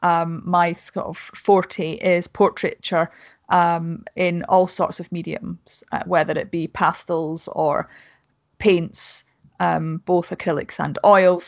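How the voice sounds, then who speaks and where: A woman with a Scottish accent and a fairly low pitch speaks very slowly in a monotone, flat intonation, the sound dry and close with no echo against a quiet background. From Scotland. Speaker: podcast host and YouTuber. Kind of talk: casual chat. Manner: talkative.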